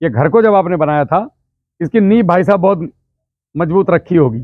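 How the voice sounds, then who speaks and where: Loud and high-pitched, a man speaks with lively intonation. His pace is moderate. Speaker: farming trainer, ex-army farmer. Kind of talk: village farmer workshop talk.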